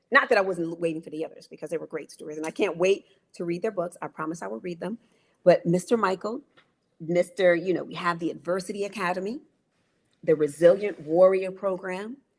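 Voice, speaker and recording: The delivery is animated and fairly quick, with ordinary pitch variation and big swings in loudness. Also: woman, fairly low pitch for a woman. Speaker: interviewer at book launch. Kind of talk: online event interview. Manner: fast.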